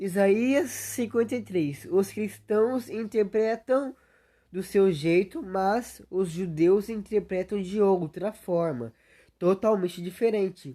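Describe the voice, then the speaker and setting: In a very clean recording with a silent background, a woman of medium pitch speaks very slowly in a dark, mellow tone with lively intonation. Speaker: youtuber. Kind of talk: livestream monologue. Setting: solo livestream.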